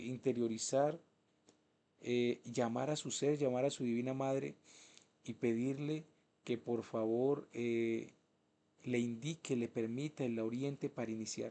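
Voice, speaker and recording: Dark and mellow in tone, a man's medium-pitched voice moves with fairly even intonation and long, frequent pauses. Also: fairly slow pace. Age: 30s. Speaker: spiritual teacher. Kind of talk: lecture.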